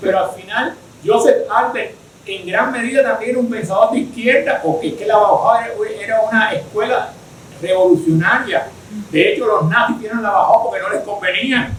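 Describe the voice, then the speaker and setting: A man speaks at a moderate pace in an extremely high voice with lively intonation. There is audible room echo and noticeable background noise. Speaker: architect and design researcher giving a lecture. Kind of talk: lecture with Q&A discussion. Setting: virtual online event. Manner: hesitant, with fillers and repetitions.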